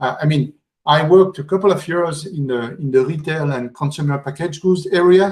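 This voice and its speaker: With ordinary pitch variation and a fairly high pitch, this man keeps a moderate pace. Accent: French. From France. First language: French. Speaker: conference speaker. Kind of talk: conference talk. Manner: halting, many fillers.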